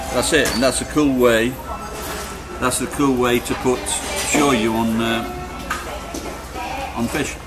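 The speech moves at a fairly slow pace while clear music plays in the background. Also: man. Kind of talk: casual vlog chat. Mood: playful, joking. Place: cafe. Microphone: phone near.

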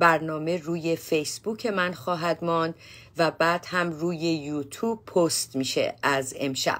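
This woman has an ordinary speaking voice, fairly low in pitch, with ordinary pitch variation and a fairly slow pace. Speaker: psychotherapist hosting a show. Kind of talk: talk show host introduction. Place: office. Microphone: phone near.

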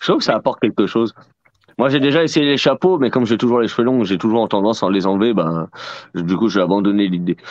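A man's fairly low voice at a very fast pace, with lively intonation, very even loudness, and a dry, close sound with no echo. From France. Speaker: book fair organizer and host. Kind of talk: casual live chat. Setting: video call.

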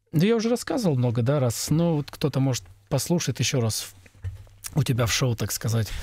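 A man with a fairly high pitch talks in a dark, mellow tone. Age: middle-aged. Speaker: sound engineer. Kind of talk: casual chat.

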